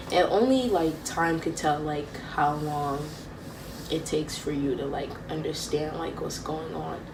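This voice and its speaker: Amid noticeable background noise and audible room echo, a woman speaks at a fairly slow pace in a very deep, low pitch with ordinary pitch variation. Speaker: vlogger. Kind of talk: personal vlog talk. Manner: halting.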